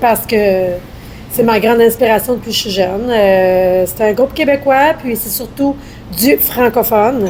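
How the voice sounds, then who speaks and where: A woman speaks at a fairly slow pace with ordinary pitch variation and long, frequent pauses. Noticeable background noise runs underneath. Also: fairly high pitch for a woman. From Quebec. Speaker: rock band singer. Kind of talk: podcast interview.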